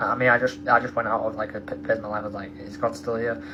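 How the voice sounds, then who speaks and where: Music sits in the background while the talking goes at a fairly quick pace. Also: man. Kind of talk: testimony. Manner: fast; halting, many fillers.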